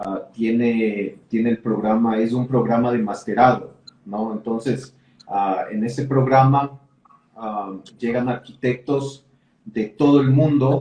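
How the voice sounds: A man speaks slowly at a medium pitch. His tone is dark and mellow, his intonation fairly even.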